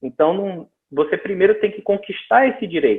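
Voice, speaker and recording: This is a man with a high pitch. He speaks with a northeastern Brazilian accent. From Northeast Brazil. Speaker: missions speaker. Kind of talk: lecture. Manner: halting, with frequent repetitions.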